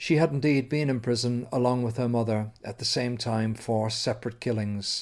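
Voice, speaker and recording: This is a man with an Irish accent. His pitch is medium. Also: very clean recording, silent background. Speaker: radio interviewer. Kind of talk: scripted narration. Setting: outdoors.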